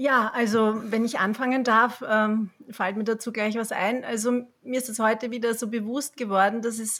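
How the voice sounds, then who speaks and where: At a moderate pace, a woman with a fairly high pitch talks in an ordinary speaking voice with fairly even intonation. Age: 40s. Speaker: yoga teacher, parent. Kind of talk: casual chat. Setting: online call from home.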